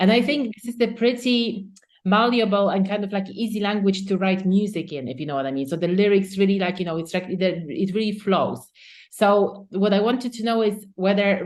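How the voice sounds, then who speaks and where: A woman's medium-pitched voice in a non-native accent, fairly quick, with ordinary pitch variation. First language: not English. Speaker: podcast host. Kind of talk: interview.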